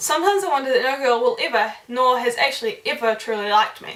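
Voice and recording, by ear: A fast-paced woman's voice, fairly high and fairly bright, with ordinary pitch variation and audible room echo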